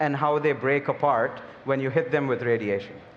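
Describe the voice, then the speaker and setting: With a Telugu accent, a man talks at a moderate pace and ordinary pitch variation over noticeable background noise. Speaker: biotech company CEO. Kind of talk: panel discussion.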